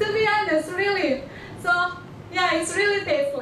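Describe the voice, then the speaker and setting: A woman with an Indonesian accent speaks with lively intonation over noticeable background noise, with audible room echo. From Indonesia, Batak. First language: Batak. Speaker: international student. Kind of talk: presentation to an audience. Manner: halting, many fillers and restarts.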